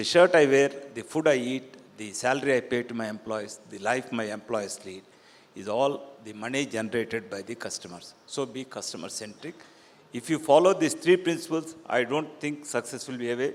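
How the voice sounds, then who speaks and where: A normal speaking voice goes at a moderate pace. Its intonation is lively, with big swings in loudness. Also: man, medium pitch for a man. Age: 60s. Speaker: real estate developer. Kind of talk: panel discussion.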